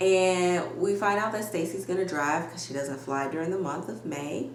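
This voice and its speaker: Over noticeable background noise and audible room echo, a woman with a fairly low voice sounds animated, her intonation lively. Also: moderate pace. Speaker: YouTuber reality TV recapper. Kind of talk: casual recap commentary. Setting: home video recording with ring light. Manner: loud.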